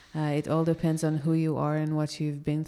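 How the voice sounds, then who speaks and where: On a very clean recording with a silent background, a woman with an Israeli accent speaks in a very deep, low pitch and a dark, mellow tone. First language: Hebrew. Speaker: yoga teacher. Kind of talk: casual chat. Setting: cafe patio.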